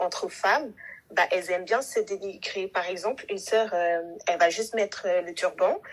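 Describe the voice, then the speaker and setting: A plain, everyday voice from a woman, medium in pitch, at a fairly slow pace. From Senegal. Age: 20s. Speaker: administrative assistant apprentice. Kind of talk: casual chat.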